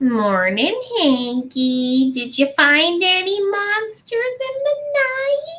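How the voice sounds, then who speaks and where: A put-on character voice, extremely high, with very wide pitch swings, a very slow pace and hardly any pauses. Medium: read story. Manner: sly, drawn-out, teasing.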